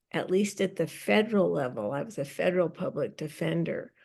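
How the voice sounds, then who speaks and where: A woman with an American accent talks at a fairly low pitch with vocal fry. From US Pacific Northwest, Seattle. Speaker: public speaking coach and film producer. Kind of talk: interview. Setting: podcast.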